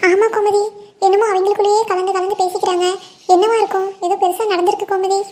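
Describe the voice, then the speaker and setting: A woman's cartoonish character voice, extremely high in pitch, at a fairly quick pace, with very even loudness and monotone, flat intonation. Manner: calm, measured.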